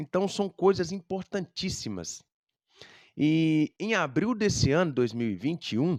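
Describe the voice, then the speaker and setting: A man with a fairly high voice speaks in an unremarkable speaking voice at a fairly slow pace, the sound dry and close with no echo over a quiet background. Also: lively intonation. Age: 30s. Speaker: music teacher. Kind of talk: educational talk.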